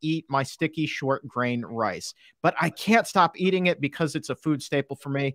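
A man with lively intonation and an animated, upbeat tone at a moderate pace, in dry sound with no echo and a quiet background. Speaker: livestream host. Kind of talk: casual interview, live Q&A. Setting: online livestream. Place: studio. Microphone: studio mic.

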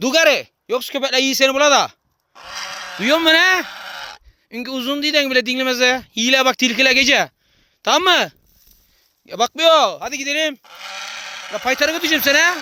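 In an Aegean accent, a raised, projected voice with a bright, sharp tone moves at a fairly quick pace with ordinary pitch variation and long, frequent pauses, in a dry, close sound with no echo. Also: man. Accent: Aegean Turkish dialect. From Tire, İzmir, Aegean Turkey. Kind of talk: coaxing talk to an injured bird.

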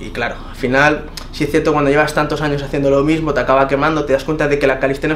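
A man rattles along at a very fast pace in a fairly high, flat monotone. Light background noise can be heard. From Spain. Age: 20s. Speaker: fitness YouTuber. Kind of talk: interview. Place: home room.

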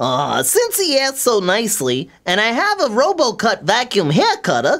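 This cartoonish character voice is pitched fairly high. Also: moderate pace. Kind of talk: comedic puppet sketch banter. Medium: puppet.

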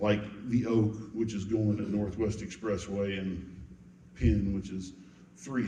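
Speaking with an American accent, a man talks at a moderate pace in a monotone, flat intonation, with audible room echo around him. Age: 60s. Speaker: city council candidate. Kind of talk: campaign speech at candidate forum. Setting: church hall with audience.

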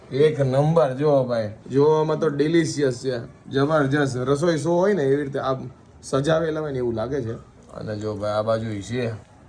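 A man speaks at a fairly high pitch with ordinary pitch variation. Audible echo fills the room. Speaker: vlogger. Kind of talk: casual vlog narration. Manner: animated.

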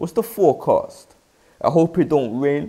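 A man with a London accent, high-pitched and lively in intonation, at a moderate pace on a very clean recording with a silent background. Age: young. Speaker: spoken word poet. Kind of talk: spoken word performance.

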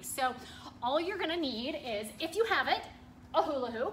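Over light background noise, a woman uses a raised, projected voice with very wide pitch swings. Her pace is moderate. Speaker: fitness coach. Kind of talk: workout instruction. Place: gym. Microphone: phone near.

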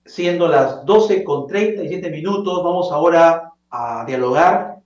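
Speaking very slowly, a man with a high pitch and ordinary pitch variation is heard in a quiet background with audible room echo. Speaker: TV interview host. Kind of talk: presenter introduction. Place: home room. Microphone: webcam.

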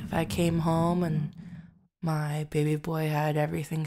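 Her tone dark and mellow, a woman talks at a very slow pace in a fairly low pitch. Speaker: ASMR roleplay voice actor. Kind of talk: roleplay monologue to listener. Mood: affectionate, teasing. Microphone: studio mic.

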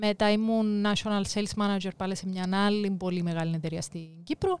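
A woman with a Cypriot accent speaks at a medium pitch. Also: very clean recording, silent background. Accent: Cypriot Greek. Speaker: life coach and author. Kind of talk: interview.

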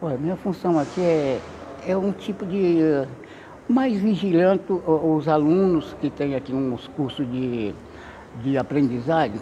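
Speaking very slowly over light background noise, a man with a fairly high voice uses lively intonation and takes long, frequent pauses. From Bahia, Brazil. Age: 70s. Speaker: school support staff. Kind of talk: interview testimony. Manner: halting. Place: hall.

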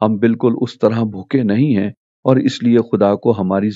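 A man with a plain, everyday voice, medium pitch and ordinary pitch variation. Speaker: preacher / sermon speaker. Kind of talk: sermon / Bible teaching talk.

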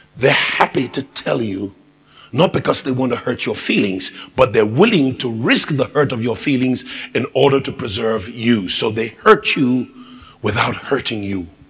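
There is noticeable noise in the background. Over it, a man talks at a fairly slow pace. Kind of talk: church sermon.

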